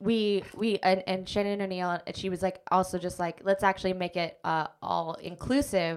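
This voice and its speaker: In a very clean recording with a silent background, a woman speaks with a General American accent in an ordinary speaking voice, at medium pitch, with fairly even intonation. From Alaska (Anchorage). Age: 30s. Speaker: comedian and actor. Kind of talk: casual interview chat.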